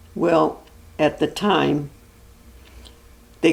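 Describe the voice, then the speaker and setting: A woman with an American accent speaks very slowly in a very deep, low pitch with fairly even intonation. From US Midwest, Cleveland, Ohio. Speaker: grandmother sharing family memories. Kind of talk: casual family interview. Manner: halting.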